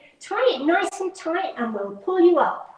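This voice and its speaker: A woman puts on a squeaky character voice at an extremely high pitch, with a warm tone. Her intonation is lively and her pace moderate. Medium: read story. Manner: warm, practical.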